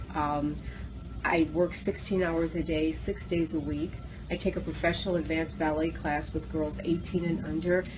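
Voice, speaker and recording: Noticeable background noise behind a woman's moderate-paced speech. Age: 60s. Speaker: raw food advocate. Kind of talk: interview. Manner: animated.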